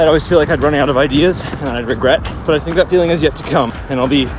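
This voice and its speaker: Through noticeable background noise, a man with a fairly high pitch speaks at a very fast pace with fairly even intonation. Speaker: running vlogger. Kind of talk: casual vlog monologue while running. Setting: outdoors, running on road with handheld camera.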